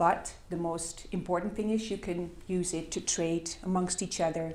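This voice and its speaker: In a Dutch accent, a woman talks at a moderate pace. Her pitch is fairly low, and audible room echo surrounds her voice. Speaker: complementary currency project worker. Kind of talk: conference presentation. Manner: halting, many fillers.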